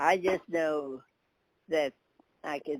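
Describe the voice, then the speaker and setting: Her pitch is very deep and low. This woman has an American accent. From Maryland. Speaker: oral history interviewee. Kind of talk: oral history interview. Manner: halting.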